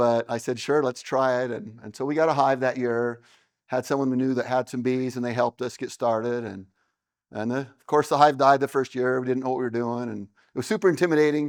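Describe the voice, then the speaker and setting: Over a quiet background, the speaker talks at a fairly quick pace with an American accent and fairly even intonation. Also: man, medium pitch for a man. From Utah. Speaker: beekeeper and business owner. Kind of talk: seminar talk. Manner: loud.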